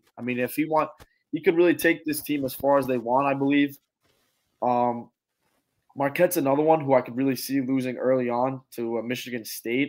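A man talks at a fairly quick pace with a fairly high pitch and fairly even intonation. The recording is very clean, with a silent background. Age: 20s. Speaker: college student and sports fan. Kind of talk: casual chat. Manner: halting.

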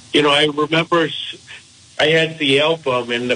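A man talks with fairly even intonation while noticeable background noise can be heard. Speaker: author. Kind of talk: radio interview.

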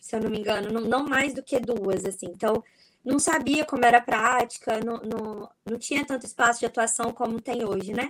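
An unremarkable speaking voice moves along at a medium tempo. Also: woman. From Espírito Santo, Brazil. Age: 20s. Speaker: neuropsychologist. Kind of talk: casual chat. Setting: video call.

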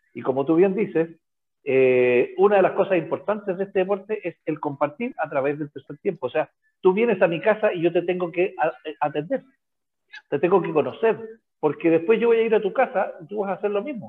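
At a fairly quick pace, a high-pitched man talks with lively intonation. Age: 60s. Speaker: physics teacher and rugby coach. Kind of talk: casual chat. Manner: halting, many repetitions.

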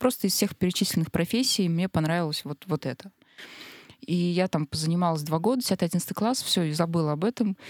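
Here a woman with an ordinary speaking voice talks at a fairly quick pace, her pitch fairly low with ordinary variation, in a dry, close sound with no echo. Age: 30s. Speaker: unemployed marketer, podcast guest. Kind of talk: casual discussion. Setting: studio.

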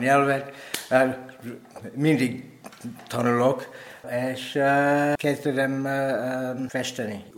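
A man with a strong non-native accent speaks at medium pitch with fairly even intonation, amid audible room echo and noticeable background noise. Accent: strong foreign accent in Hungarian. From Kenya, then England and Wales from age 8. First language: English (speaking Hungarian). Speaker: painter. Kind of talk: interview. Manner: halting, many fillers.

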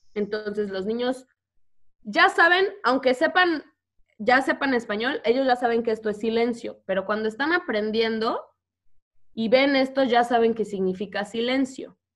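With a Mexican accent, a woman speaks at a fairly slow pace in a fairly high pitch. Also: lively intonation. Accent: Mexican Spanish, noticeable. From Mexico. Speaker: teacher. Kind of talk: casual interview. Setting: video call.

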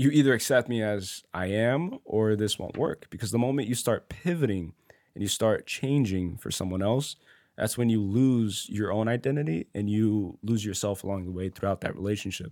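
A man with an American accent and an ordinary speaking voice talks at a fairly low pitch and a moderate pace with ordinary pitch variation, in a very clean recording with a silent background. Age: 20s. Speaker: podcast host. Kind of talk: casual chat.

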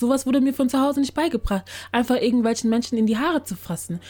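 A woman talks very fast at a fairly high pitch. Her pitch varies in an ordinary way. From Germany. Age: 20s. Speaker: podcaster. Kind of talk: casual chat.

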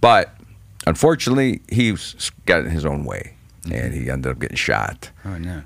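Very deep and low, a man's voice carries vocal fry and very wide pitch swings along with big shifts in loudness. He goes at a fairly quick pace yet leaves long, frequent pauses. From Cleveland, Ohio. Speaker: stand-up comedian. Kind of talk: casual chat.

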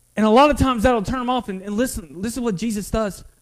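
Music plays in the background. A man with a North Carolina accent speaks at a high pitch. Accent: Southern US (North Carolina). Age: 20s. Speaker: pastor. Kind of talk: sermon. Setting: church. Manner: halting.

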